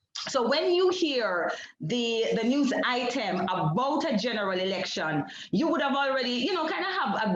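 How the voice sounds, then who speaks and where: A woman with a Jamaican accent talks at a moderate pace with very wide pitch swings, amid noticeable background noise and audible room echo. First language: Jamaican Creole. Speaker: PhD researcher. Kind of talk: academic seminar presentation. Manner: halting, with repetitions and fillers.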